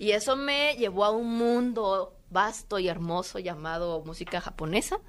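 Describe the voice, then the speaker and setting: Using a normal speaking voice, a woman talks at a fairly slow pace and a medium pitch with lively intonation. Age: 20s. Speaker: cosplayer. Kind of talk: casual interview chat. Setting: convention floor.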